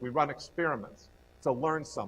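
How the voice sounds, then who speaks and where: Fairly quick delivery in a New York accent. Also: man. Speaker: entrepreneurship professor. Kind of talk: lecture. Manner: fast.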